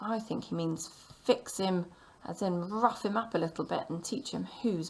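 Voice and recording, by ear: A text is read aloud in a natural voice. The pitch shifts an ordinary amount.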